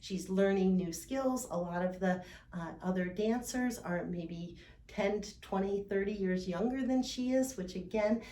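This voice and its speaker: In a room with audible echo, a woman speaks fairly slowly at medium pitch with ordinary pitch variation. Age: 60s. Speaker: fitness coach for older adults. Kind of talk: instructional talk. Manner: casual, with many fillers.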